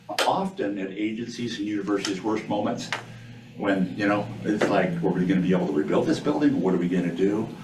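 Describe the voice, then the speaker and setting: A man at a fairly low pitch and fairly quick pace, with audible room echo and noticeable background noise. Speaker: state risk management administrator. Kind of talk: presentation to a board meeting. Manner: fast.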